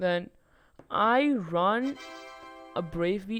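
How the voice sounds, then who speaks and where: Music plays behind a woman speaking with a non-native accent. Her intonation is lively. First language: not English. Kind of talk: casual game guide talk. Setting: low-quality home microphone. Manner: hesitant, stuttering.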